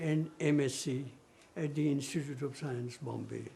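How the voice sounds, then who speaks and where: There is audible room echo around this man's voice. He speaks at a fairly slow pace. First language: Gujarati. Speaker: mathematician. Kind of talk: interview reminiscence.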